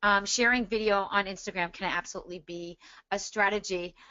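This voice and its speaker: A woman speaks in a plain, everyday voice. She has a medium pitch, ordinary pitch variation and a moderate pace. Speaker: social media marketing expert. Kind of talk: webinar Q&A. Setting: joining by phone on a webinar. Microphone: phone audio only, no video.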